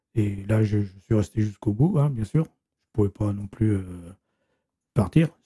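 Speaking at a fairly slow pace, a man uses a fairly low pitch and a dark, mellow, somewhat breathy tone with ordinary pitch variation, and the sound is dry and close, with no echo. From western France, Vienne. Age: 70s. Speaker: retired manual worker. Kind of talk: interview testimony. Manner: halting, repetitive.

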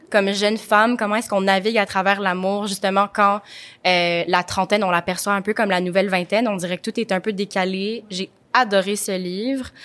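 Here a woman talks at a fairly quick pace. Her intonation is monotone and flat. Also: medium pitch for a woman, very clean recording, silent background. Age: 20s. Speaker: podcast host. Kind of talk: interview. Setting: studio.

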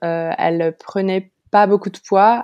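This woman speaks at a fairly slow pace with fairly even intonation. The background is quiet. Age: 30s. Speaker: mother of two, starting online clothing shop. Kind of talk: testimony. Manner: hesitant.

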